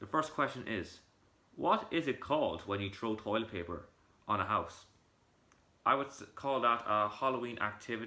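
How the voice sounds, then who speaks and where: Bright and sharp in tone, a man speaks at a moderate pace, his medium pitch showing ordinary variation. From Ireland.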